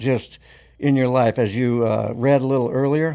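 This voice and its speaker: With a dark, mellow tone, a man speaks at a medium pitch and moderate pace with fairly even intonation on a very clean recording over a silent background. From South Dakota. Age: 70s. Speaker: war veteran. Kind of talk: interview storytelling. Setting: studio.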